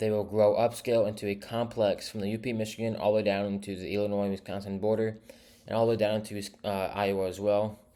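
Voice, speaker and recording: In a fairly low voice with a dark, mellow tone, a man talks very fast in a monotone, flat delivery. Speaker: weather forecaster. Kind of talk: weather forecast briefing. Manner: hesitant, with stumbles and repeats.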